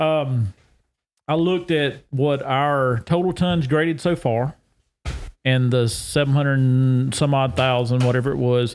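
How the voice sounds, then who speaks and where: At a fairly slow pace, a man speaks in a Southern US accent with medium pitch, ordinary pitch variation and very even loudness. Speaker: agricultural extension specialist. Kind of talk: casual chat. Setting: on location at a state park.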